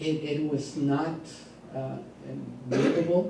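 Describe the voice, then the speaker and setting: In a room with audible echo, a man with a fairly high pitch speaks at a very slow pace and with fairly even intonation. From Mexico (Monterrey). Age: 60s. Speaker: business executive. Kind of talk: talk to business audience. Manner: halting, many fillers.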